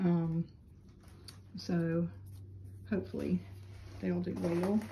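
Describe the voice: A woman speaks slowly, her pitch fairly low with little movement. Her tone is dark and mellow, with vocal fry.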